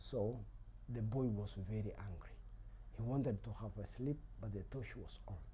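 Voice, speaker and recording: At a moderate pace, a man speaks with a Kenyan accent. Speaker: storyteller. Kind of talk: oral folk story telling.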